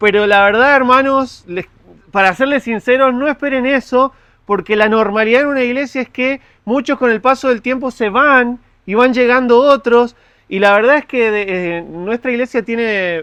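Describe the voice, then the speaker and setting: A man's extremely high, bright, sharp voice at a moderate pace with ordinary pitch variation, over a quiet background. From Argentina, Mendoza. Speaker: pastor. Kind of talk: sermon. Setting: church.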